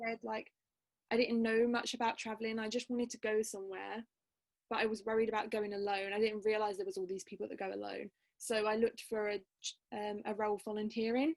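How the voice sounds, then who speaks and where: The speech runs at a very fast pace with a monotone, flat intonation. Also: woman, fairly high pitch for a woman. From England, Essex. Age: 20s. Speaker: university student and language youtuber. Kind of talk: casual interview chat.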